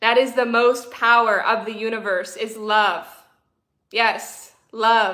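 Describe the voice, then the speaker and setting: Speech comes at a very slow pace in a bright, sharp tone. The intonation is monotone and flat, with audible room echo. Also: woman. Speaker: spiritual coach and livestreamer. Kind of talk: live-streamed spiritual talk. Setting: livestream with chat, camera on tripod.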